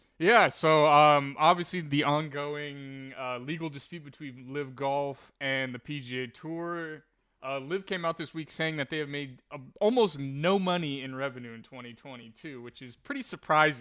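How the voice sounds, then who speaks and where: A man with an American accent, fairly high pitch for a man, a bright, sharp tone, ordinary pitch variation, big swings in loudness and a moderate pace, on a very clean recording with a silent background. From California. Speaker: sports podcast co-host. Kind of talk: casual chat.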